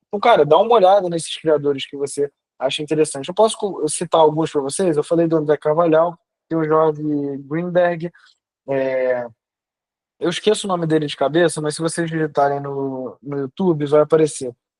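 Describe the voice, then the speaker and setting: Here is an ordinary speaking voice from a man, fairly high in pitch with ordinary pitch variation. He talks at a fairly quick pace, and the sound is dry and close with no echo. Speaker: online class teacher on personal branding. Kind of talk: lecture. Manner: casual, slangy.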